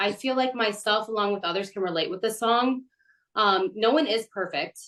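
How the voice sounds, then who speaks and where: At a moderate pace with ordinary pitch variation, it is an ordinary speaking voice. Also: woman, fairly high pitch for a woman. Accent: American. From Michigan, Detroit area. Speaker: podcast interviewer and singer. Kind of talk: interview.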